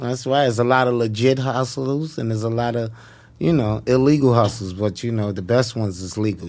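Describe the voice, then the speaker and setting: A man's medium-pitched voice at a fairly quick pace with ordinary pitch variation. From New York (Harlem). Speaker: comedian. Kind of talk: casual chat.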